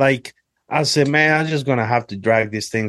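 Recorded with a dry, close sound and no echo, a man with an unremarkable speaking voice talks at a moderate pace with fairly even intonation. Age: 30s. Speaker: hunter. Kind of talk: casual chat.

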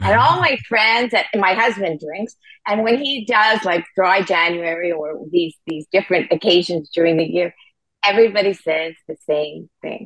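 A woman has an ordinary speaking voice. She talks at a moderate pace with lively intonation. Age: 60s. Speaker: founder of a sobriety community. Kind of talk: interview.

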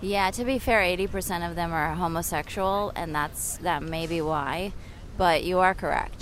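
A woman with an American accent speaks at a fairly slow pace and a fairly low pitch, with ordinary pitch variation. Audible room echo surrounds her voice. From California. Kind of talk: casual chat. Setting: outdoors, city park.

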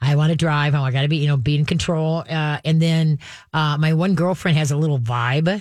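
At a fairly quick pace, a woman talks in a low voice with a slightly mellow tone and fairly even intonation.

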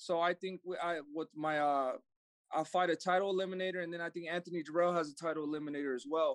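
A man talks very fast at a high pitch with fairly even intonation, the sound dry and close with no echo over a quiet background. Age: 20s. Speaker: professional boxer. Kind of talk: interview.

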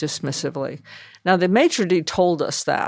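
A woman's fairly low voice at a moderate pace on a very clean recording with a silent background. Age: 70s. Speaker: TV writer and producer, memoir author. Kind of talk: casual interview conversation. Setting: makeshift studio with street noise.

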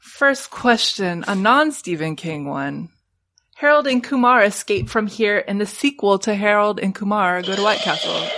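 Using a normal speaking voice at medium pitch, a woman talks at a moderate pace with lively intonation. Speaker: trivia podcast co-host. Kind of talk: casual chat.

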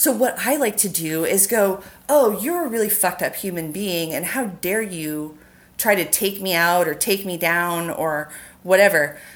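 A woman with an American accent speaks at a moderate pace with lively intonation and a medium pitch. She has a plain, everyday voice. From US West Coast. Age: 40s. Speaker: makeup artist. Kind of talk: casual chat.

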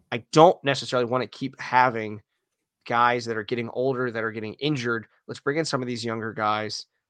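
A man talks at a fairly quick pace in a plain, everyday voice with a medium pitch. His intonation is fairly even, and the sound is dry and close with no echo. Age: 30s. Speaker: hockey podcaster. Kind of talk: casual chat.

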